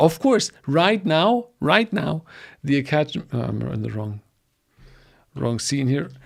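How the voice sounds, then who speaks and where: With a German accent, a man speaks at a moderate pace in a fairly high pitch. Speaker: data engineering educator. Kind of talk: livestream promo talk. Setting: livestream from home studio. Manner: halting.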